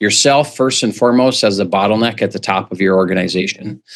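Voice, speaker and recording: Here a man with an unremarkable speaking voice talks fairly quickly in an American accent, his fairly low pitch showing ordinary variation. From US Midwest, central North Dakota. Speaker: business coach. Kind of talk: podcast interview.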